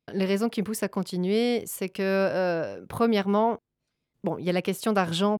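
A woman's medium-pitched voice at a moderate pace, fairly even in intonation, with a dry, close sound and no echo. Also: very clean recording, silent background. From southwest France (Charente-Maritime, Gers). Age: 30s. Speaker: sex worker. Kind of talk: personal testimony interview. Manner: halting, many fillers.

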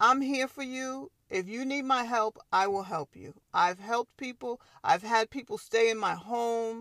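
Recorded dry and close with no echo, a woman with an American accent speaks at a fairly slow pace in an unremarkable speaking voice, fairly high in pitch with ordinary variation and big swings in loudness. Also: very clean recording, silent background. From Long Island, New York. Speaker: podcast host. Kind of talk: solo podcast monologue.

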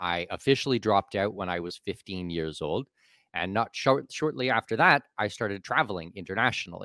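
Recorded very clean against a silent background, dry and close with no echo, a man with an unremarkable speaking voice talks at a fairly quick pace in a fairly low pitch with lively intonation. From Canada. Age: 40s. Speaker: expat and offshore tax consultant. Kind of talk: casual interview chat.

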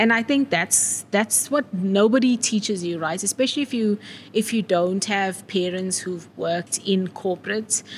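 The voice is somewhat breathy, with ordinary pitch variation and a moderate pace. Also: woman, medium pitch for a woman. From South Africa, KwaZulu-Natal (Wentworth, Durban). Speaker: marketing executive. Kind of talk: interview. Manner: animated.

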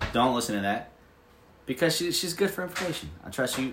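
With lively intonation and a fairly quick pace, a man speaks amid audible room echo. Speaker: podcast host. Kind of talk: casual chat.

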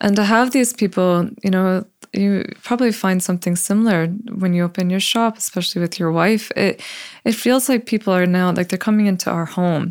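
In a very clean recording with a silent background, a woman with an American accent uses a normal speaking voice at a medium pitch, with ordinary pitch variation, very even loudness and a fairly quick pace. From Buffalo, New York. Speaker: tattoo artist. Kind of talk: casual interview.

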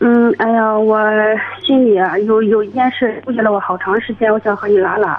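Pitch variation is ordinary and the pace moderate. This is a normal speaking voice. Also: woman, fairly high pitch for a woman. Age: 30s. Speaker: caller. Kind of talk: phone-in advice call. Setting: phone call.

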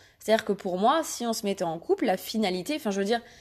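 A woman speaks at a fairly high pitch with lively intonation. It is an unremarkable speaking voice against a quiet background. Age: 20s. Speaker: podcast host and Instagram creator. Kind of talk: personal monologue.

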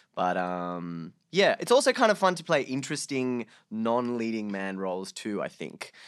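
On a very clean recording with a silent background, a speaker with an Australian accent talks at a moderate pace with hardly any pauses, very wide pitch swings and big swings in loudness. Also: man, medium pitch for a man. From Sydney, Australia (born Bangladesh, moved at six). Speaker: actor. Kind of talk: casual chat.

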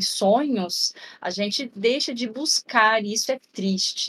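A somewhat breathy woman's voice with ordinary pitch variation, in a dry, close sound with no echo. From interior of São Paulo state, Brazil. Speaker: health researcher on rare diseases. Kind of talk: casual interview.

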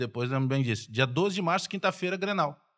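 A man's unremarkable speaking voice, fairly high in pitch, in a very clean recording with a silent background. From southern Brazil (Rio Grande do Sul, Bagé). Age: 40s. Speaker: sports journalist and radio commentator. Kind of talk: casual chat.

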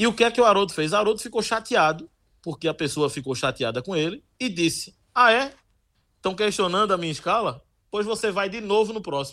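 On a very clean recording with a silent background, a man projects a raised, high-pitched voice with a bright, sharp tone, lively intonation and a fairly quick pace. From Olinda, Pernambuco, Brazil. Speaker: radio sports reporter. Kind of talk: interview.

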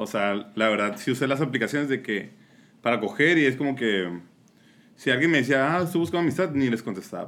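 Talking at a very fast pace, a man with a medium pitch makes big swings in loudness. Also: lively intonation. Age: 20s. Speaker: podcast guest. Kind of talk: casual chat.

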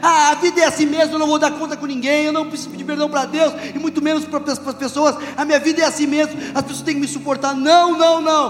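A man talks very fast in an extremely high voice with flat, monotone intonation over noticeable background noise. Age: 40s. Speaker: pastor. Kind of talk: sermon.

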